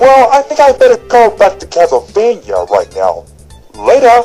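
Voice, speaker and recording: A cartoonish character voice over faint background music. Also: moderate pace. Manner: boastful, upbeat.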